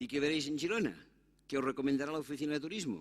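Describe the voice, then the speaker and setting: A man talks at a very fast pace in a Catalan accent. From Catalonia, Spain. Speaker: conference speaker on immigration. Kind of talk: conference talk. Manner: animated.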